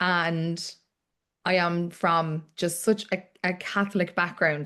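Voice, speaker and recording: Speaking very slowly in a Cork accent, a woman uses a bright, sharp tone and monotone, flat intonation. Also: quiet background. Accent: Cork Irish English. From Ireland, Cork. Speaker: author. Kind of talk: book club interview.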